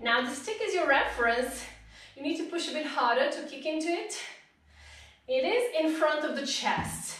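In a room with audible echo, a woman with a high pitch and an upbeat tone talks at a moderate pace, her intonation lively and broken by long, frequent pauses. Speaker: pilates instructor. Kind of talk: live-led workout instruction, counting reps and cueing breath. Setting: live stream. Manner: encouraging and upbeat, rhythmic countdowns with frequent praise; directive, short imperative cues paced to movement. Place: home room.

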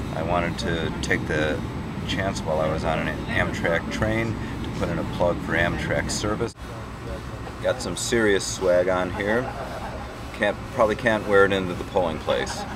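Against loud background noise, a man speaks at a moderate pace with a dry sound and no echo. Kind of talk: casual vlog chat. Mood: upbeat, relaxed. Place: train. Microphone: webcam.

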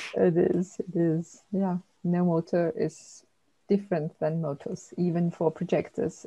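A woman speaks fairly slowly in a fairly low, dark, mellow voice that is somewhat breathy, with fairly even intonation. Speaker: human design analyst. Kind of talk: casual interview conversation. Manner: gentle; halting, searching for words.

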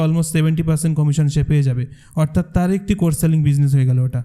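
Fairly even in intonation, a man speaks at a fairly high pitch with a dark, mellow tone. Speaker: content creator and course co-founder. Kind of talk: presentation to audience.

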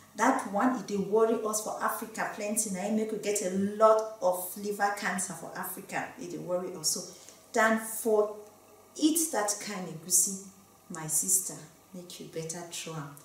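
Audible room echo surrounds a woman's medium-pitched voice. She keeps a moderate pace, with ordinary pitch variation and big swings in loudness. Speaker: medical doctor. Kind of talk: health education talk to camera. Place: studio.

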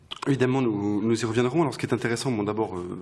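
A man talks with ordinary pitch movement. Background noise is clearly audible behind him. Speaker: bookshop event host. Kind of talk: interview. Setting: stage with audience. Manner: halting.

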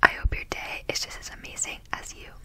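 A woman is whispering. Her pace is moderate. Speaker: ASMR content creator. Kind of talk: ASMR clothing try-on haul. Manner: whispered. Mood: cheerful, playful. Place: home room. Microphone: studio mic.

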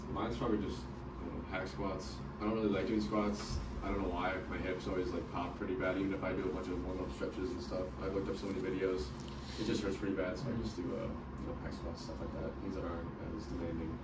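A man races along at a very fast pace while loud background noise plays. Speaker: interviewee. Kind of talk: interview answer. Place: meeting room. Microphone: camera far.

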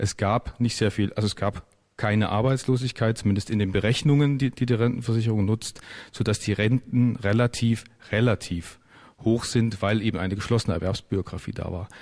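A man's pitch rises and falls in an ordinary way as he talks at a moderate pace, and the background stays quiet. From Thuringia, Saalfeld; Thuringia. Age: 40s. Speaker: parliamentary candidate; candidate. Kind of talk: radio panel debate. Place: studio.

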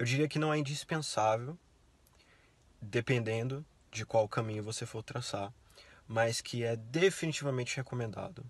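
A man talks at a medium pitch with ordinary variation, somewhat breathy. The sound is dry, with no echo. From Brazil. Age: 20s. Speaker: university student; interviewee. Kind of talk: interview. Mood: relaxed, friendly. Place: car. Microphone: phone near.

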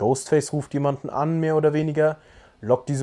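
Speaking at a fairly quick pace, a man is heard. His tone is dark and mellow. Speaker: film review youtuber. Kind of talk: film review commentary. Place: home room.

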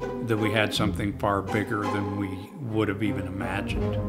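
A man talks at a moderate pace. Clear music runs behind his words. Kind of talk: interview answer. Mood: fond, amused reminiscing. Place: home room.

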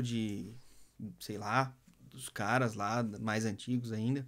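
A man speaks with a Brazilian accent. The background is quiet. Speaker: music producer and DJ mentor; DJ mentor. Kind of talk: live stream talk. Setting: Instagram live. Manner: casual, slangy. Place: studio. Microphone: phone near.

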